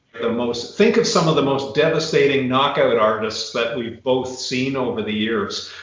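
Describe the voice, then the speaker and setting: Noticeable background noise runs under a man at medium pitch. He talks at a moderate pace with ordinary pitch variation and hardly any pauses. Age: 60s. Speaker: retired biomechanics professor. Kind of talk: casual interview chat.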